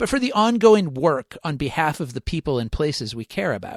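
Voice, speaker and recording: Recorded very cleanly with a silent background and a dry, close sound with no echo, a man's voice moves through very wide pitch swings. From US Northeast, Rochester, New York. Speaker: podcast host and journalist. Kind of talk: scripted narration. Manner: formal.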